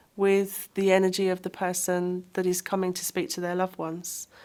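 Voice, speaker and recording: A woman's medium-pitched voice comes through a very clean recording with a silent background. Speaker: psychic medium. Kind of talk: interview. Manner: outgoing, not quiet.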